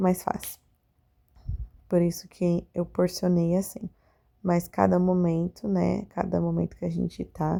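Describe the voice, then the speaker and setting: A woman speaks at a fairly slow pace. Long pauses come often. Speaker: confectioner vlogger. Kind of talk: vlog voiceover narration. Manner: casual, conversational.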